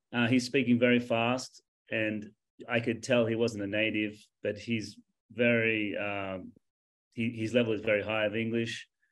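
In an Australian accent, a man talks in a flat, monotone way with long, frequent pauses. The recording is very clean, with a silent background. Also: medium pitch for a man, moderate pace. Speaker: English teacher, contestant. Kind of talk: competitive discussion.

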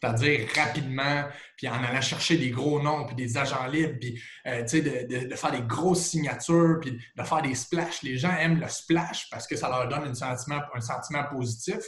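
Recorded with audible room echo and noticeable background noise, a man with a fairly high pitch talks at a moderate pace with ordinary pitch variation. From Quebec, Trois-Rivières region. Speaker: sports TV host and former football player. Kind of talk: casual interview. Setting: video call.

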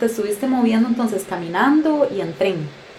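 A woman talks at a moderate pace in a fairly high pitch. The room echoes audibly, and background noise is noticeable. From Costa Rica. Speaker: podcast host, travel deals site co-founder. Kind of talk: casual interview.

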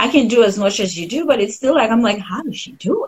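Somewhat breathy, the voice carries lively intonation in a Haitian accent. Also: woman. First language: French. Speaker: painter, former engineer, stay-at-home mom. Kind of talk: casual interview chat. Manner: laughs often.

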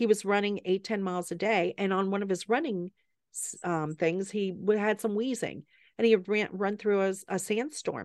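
With a Southern US accent, a woman of medium pitch speaks with fairly even intonation against a quiet background. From US South, Atlanta and South Carolina. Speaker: medical doctor. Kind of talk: casual chat.

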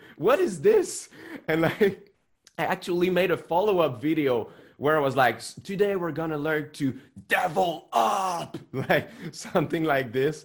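A man with a French Canadian accent talks at a fairly slow pace, his fairly high pitch showing ordinary variation. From Quebec, Montreal. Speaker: musician and online guitar teacher. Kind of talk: interview conversation. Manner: slow, careful pronunciation.

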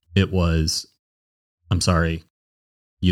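The recording is very clean with a silent background as a man speaks at a fairly slow pace. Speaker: podcast guest sharing personal story. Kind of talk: personal testimony in casual chat.

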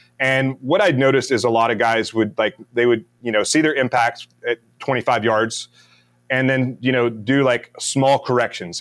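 A man with an American accent has an unremarkable speaking voice at a medium pitch and moderate pace. His pitch varies in an ordinary way, captured on a very clean recording with a silent background. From US South, Mississippi. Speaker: retired navy special forces, business founder. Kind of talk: interview, casual chat.

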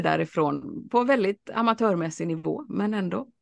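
The background is quiet as a woman delivers her words at a moderate pace. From Sweden, Alingsås (West Sweden). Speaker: lecturer on the brain and learning. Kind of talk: interview, casual chat.

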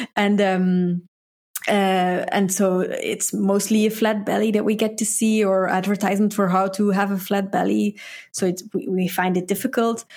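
A woman at medium pitch speaks at a moderate pace, monotone with flat intonation and very even loudness, on a very clean recording with a silent background. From Belgium. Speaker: dietitian. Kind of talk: casual interview. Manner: halting, hesitant.

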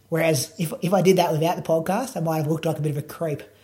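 With an Australian accent, a man speaks in a dark, mellow tone at a fairly high pitch. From Australia, Bendigo. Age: 30s. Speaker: runner and podcast host. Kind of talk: casual chat.

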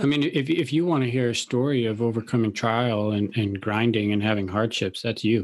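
An unremarkable speaking voice: a man with an American accent and a medium pitch talks at a fairly quick pace with ordinary pitch variation. His loudness stays very even on a very clean recording with a silent background. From Chicago, US Midwest. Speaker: podcast host interviewing millionaires. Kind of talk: casual interview chat.

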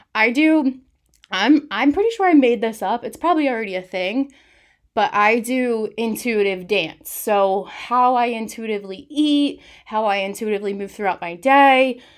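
A woman with an unremarkable speaking voice, fairly high pitch, ordinary pitch variation, and a fairly slow pace, on a very clean recording with a silent background. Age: 20s. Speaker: wellness coach and podcast host. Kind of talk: solo motivational talk.

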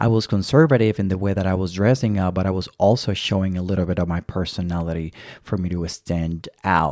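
In a very clean recording with a silent background, a man with a very deep, low pitch speaks at a fairly quick pace with ordinary pitch variation and hardly any pauses. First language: not English. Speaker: podcast host, flight attendant interview coach. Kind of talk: solo podcast monologue, advice. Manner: casual, filler-heavy.

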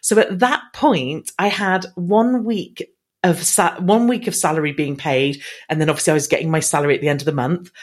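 A woman with an English accent, fairly low in pitch, with lively intonation and a fairly quick pace. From England. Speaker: business speaker and marketing trainer. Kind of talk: interview.

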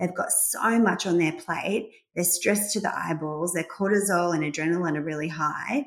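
A woman talks at a moderate pace in an ordinary speaking voice, fairly low in pitch with ordinary pitch variation. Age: 40s. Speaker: gynaecologist. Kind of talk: interview.

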